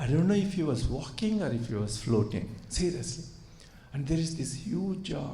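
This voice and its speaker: Somewhat breathy and dark, mellow in tone, a man with a Telugu accent speaks at a moderate pace and fairly high pitch with lively intonation, amid audible room echo. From India. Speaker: surgeon and spiritual speaker. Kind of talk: spiritual talk to audience. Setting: retreat hall with audience. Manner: hesitant with many fillers.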